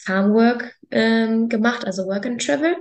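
A woman speaks at a fairly slow pace, her voice somewhat breathy and fairly high in pitch. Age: 20s. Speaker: farmer. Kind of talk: casual chat.

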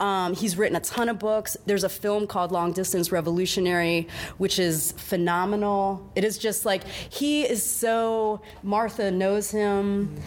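In a normal speaking voice, a woman talks with hardly any pauses. Her pitch is medium, her intonation fairly even and her loudness very even. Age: 40s. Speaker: prison justice activist and art curator. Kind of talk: casual interview. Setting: art gallery.

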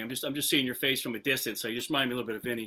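A bright, sharp tone in an American accent. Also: man. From New Jersey, US. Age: 60s. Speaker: drummer, call participant. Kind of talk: casual question in group call.

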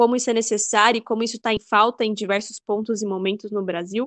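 In a dry, close sound with no echo, a woman uses an ordinary speaking voice at medium pitch with fairly even intonation. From interior of São Paulo state, Brazil. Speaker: political science graduate and researcher. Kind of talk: interview.

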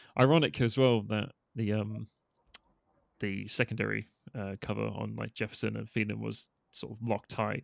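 Pausing long and often, a man with a British accent speaks at a moderate pace in a very clean, silent recording with a dry, close sound and no echo. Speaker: podcast host. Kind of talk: casual chat.

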